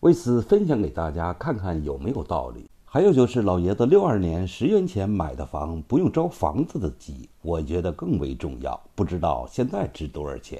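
With a Beijing accent, a man speaks at a moderate pace in a very deep, low pitch with very wide pitch swings, a dark, mellow tone and vocal fry against a quiet background. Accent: Beijing Mandarin. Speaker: hutong documentary vlogger. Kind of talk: vlog narration to camera.

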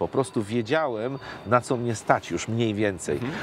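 Over light background noise, a man talks at a fairly quick pace with ordinary pitch variation. The sound is dry, with no echo. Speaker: interview guest. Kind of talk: interview answer. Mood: calm, reflective. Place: street.

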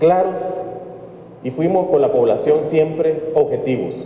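The man talks at a moderate pace, with light background noise and audible room echo. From El Salvador. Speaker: opposition party politician. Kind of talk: press statement. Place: hall. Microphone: podium.

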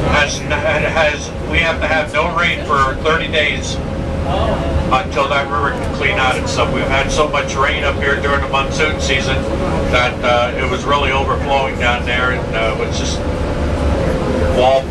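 Loud background noise behind a man at a fairly slow pace. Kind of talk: tour commentary and announcements. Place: bus.

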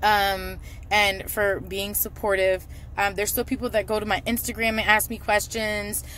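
A woman's bright, sharp, flat monotone at a moderate pace, dry with no echo, over light background noise. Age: 30s. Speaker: fitness vlogger. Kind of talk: casual vlog monologue. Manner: frequent filler words. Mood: candid, self-reflective. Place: car. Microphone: phone near.

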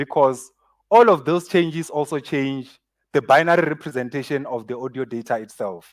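There is a quiet background. Over it, a man's speech moves at a moderate pace. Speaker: speaker. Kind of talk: conference talk. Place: stage.

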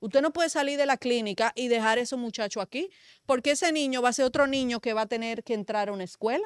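The speech comes at a very fast pace with ordinary pitch variation, in a dry sound with no echo over a quiet background. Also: woman, high pitch for a woman. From Dominican Republic. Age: young. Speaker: media commentator. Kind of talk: political talk show discussion. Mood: indignant, argumentative. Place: studio. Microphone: studio mic.

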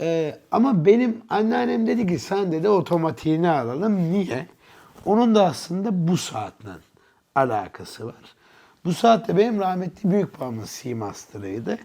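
A man with a high pitch speaks at a fairly slow pace in a dark, mellow tone, his voice making very wide pitch swings. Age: 30s. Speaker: watch enthusiast, channel owner. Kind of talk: casual interview chat.

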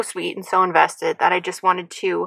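Over a quiet background, a woman is heard in dry sound with no echo. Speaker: vlogger. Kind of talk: casual vlog chat. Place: car. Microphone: phone near.

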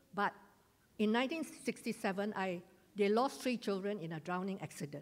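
A woman with a Malaysian accent speaks at a moderate pace. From Malaysia, Johor (Segamat); Johor, Malaysia. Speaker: retired teacher giving church testimony. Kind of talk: testimony. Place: hall.

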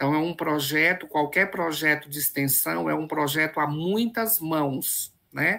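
A woman speaks with a very deep, low voice. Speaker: professor, event host. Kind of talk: event introduction.

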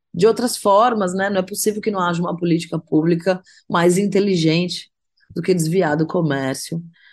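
The background stays quiet as a woman talks at a medium pitch. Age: 40s. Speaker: singer-songwriter. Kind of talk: interview. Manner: hesitant, filler-heavy.

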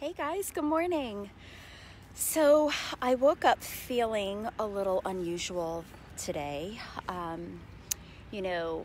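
Speaking very slowly with long, frequent pauses, a woman's voice makes very wide pitch swings over light background noise, the sound dry with no echo. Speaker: vlogger. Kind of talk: casual vlog chat. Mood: reflective, a bit low. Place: open country. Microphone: earbuds.

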